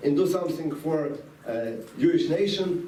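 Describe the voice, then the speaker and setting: With a non-native accent, a man speaks at a high pitch and a moderate pace, with ordinary pitch variation. Room echo is audible, and background noise is noticeable. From Latvia (Riga), Soviet Union. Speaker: rabbi, former refusenik. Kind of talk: talk to students, personal story. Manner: halting.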